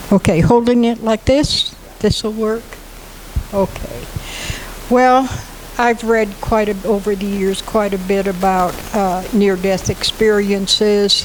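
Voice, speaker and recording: Against noticeable background noise, a woman speaks in a fairly high voice with a monotone, flat intonation. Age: 80s+. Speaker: near-death experiencer. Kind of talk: personal testimony.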